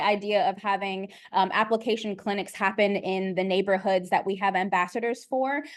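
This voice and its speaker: Against a quiet background, a woman speaks with a fairly high pitch and ordinary pitch variation. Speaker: arts festival staff member. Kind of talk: online Q&A info session. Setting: video call. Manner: fast; many filler ums.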